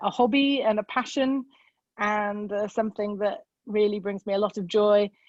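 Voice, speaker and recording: Against a quiet background, a woman speaks with a British accent in a dry, close sound with no echo. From UK. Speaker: amateur bird photographer. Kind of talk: presentation. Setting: video call. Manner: hesitant, with many fillers.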